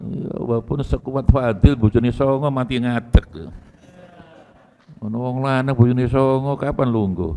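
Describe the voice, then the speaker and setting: The speaker goes at a fairly slow pace with long, frequent pauses. Loudness swings widely while pitch varies in an ordinary way. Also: man. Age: 60s. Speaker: Islamic cleric. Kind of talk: religious lecture. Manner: casual, code-switching Javanese.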